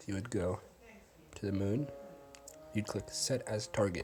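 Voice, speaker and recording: Music plays in the background while a man talks at a moderate speed in a fairly low voice, his pitch varying in an ordinary way. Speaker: gaming tutorial youtuber. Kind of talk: tutorial.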